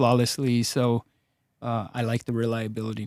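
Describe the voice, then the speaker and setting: A man's dark, mellow voice with a Spanish accent, monotone and flat in intonation, at a moderate pace. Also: dry, close sound with no echo. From Los Angeles, Mexican immigrant family. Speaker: personal injury attorney. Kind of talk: casual interview. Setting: studio.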